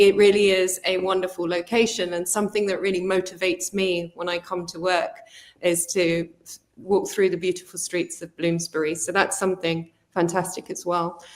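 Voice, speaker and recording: A woman speaks in a flat monotone with a London accent. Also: medium pitch for a woman, moderate pace. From South London, England. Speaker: college executive. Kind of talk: promotional presentation.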